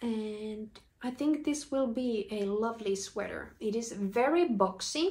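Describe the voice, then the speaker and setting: A woman with a Finnish accent speaks at a fairly high pitch. Her pace is very slow and her intonation lively. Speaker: knitting podcaster. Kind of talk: casual video podcast chat.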